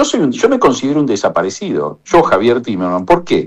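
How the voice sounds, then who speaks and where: A man with an Argentine accent at a very fast pace. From Argentina. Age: 60s. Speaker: economist. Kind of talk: radio interview testimony.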